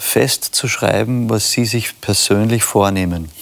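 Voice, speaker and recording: Noticeable noise behind a fairly even, level intonation. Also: man. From Austria. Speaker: pastor, church leader. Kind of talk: casual discussion.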